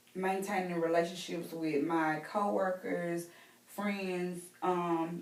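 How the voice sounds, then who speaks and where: A woman with a Southern US accent and fairly even intonation, plus audible room echo. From US South, Mississippi. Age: 20s. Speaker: role-play counseling client. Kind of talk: mock counseling interview. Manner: hesitant, many fillers.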